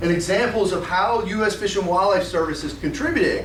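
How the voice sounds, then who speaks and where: A man speaks at a moderate pace. The room echo is audible, and background noise is noticeable. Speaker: conservation scientist. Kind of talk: conference talk.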